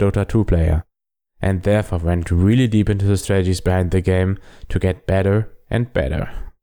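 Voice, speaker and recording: A man with a German accent, very deep and low in pitch, dark and mellow in tone, at a fairly quick pace. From Germany. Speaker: game tutorial podcaster. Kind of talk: scripted-style podcast intro. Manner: enthusiastic, friendly.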